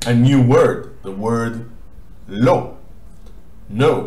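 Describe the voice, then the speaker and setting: A man talks in a room with audible echo, noticeable background noise present throughout. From Israel. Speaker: language teacher. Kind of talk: tutorial.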